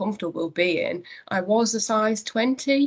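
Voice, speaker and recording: Ordinary pitch variation marks this woman's speech, which sits at a medium pitch. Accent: North East England. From North East England. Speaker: company managing director. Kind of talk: interview conversation. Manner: hesitant, many fillers.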